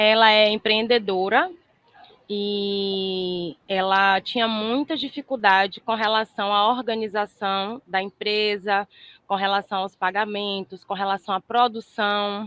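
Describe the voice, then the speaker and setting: A woman with a Bahian accent, medium in pitch, at a very slow pace. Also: fairly even intonation. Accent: Bahian accent, noticeable. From Brazil, Salvador, Bahia. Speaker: therapist student. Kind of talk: case presentation in online class.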